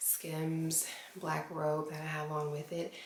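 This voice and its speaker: A woman whispers at a fairly slow pace. Noticeable background noise and audible room echo are present. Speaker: lifestyle vlogger. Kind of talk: casual vlog talk to camera. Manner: whispering.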